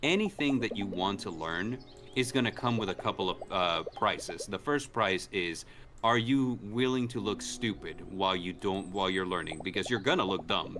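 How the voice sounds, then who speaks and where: With a Spanish accent, a man speaks at a fairly low pitch and a fairly quick pace with ordinary pitch variation, over noticeable background noise. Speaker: gaming streamer. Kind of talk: casual chat. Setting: live stream with co-hosts.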